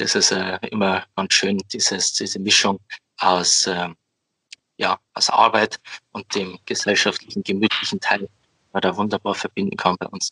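Long pauses come often as a man talks. Between them, his pace is moderate. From Bavaria, Upper Palatinate (Amberg). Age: 20s. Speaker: head altar server, student. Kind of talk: podcast interview.

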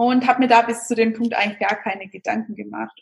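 A woman's fairly high, somewhat breathy voice, with ordinary pitch variation and a fairly quick pace. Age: 30s. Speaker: vegan nutrition and recipe expert. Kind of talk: interview. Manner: hesitant, many fillers.

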